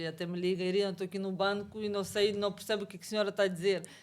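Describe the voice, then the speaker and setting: Her pitch medium, a woman speaks in a monotone, flat intonation. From Ukraine/Russia. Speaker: massage therapist, immigrant guest. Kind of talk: interview conversation. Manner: halting.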